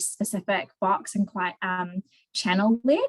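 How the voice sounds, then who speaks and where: A woman with a somewhat breathy, medium-pitched voice and ordinary pitch variation is heard in a dry, close sound with no echo. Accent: New Zealand. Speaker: marketing manager. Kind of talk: interview. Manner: halting, many fillers.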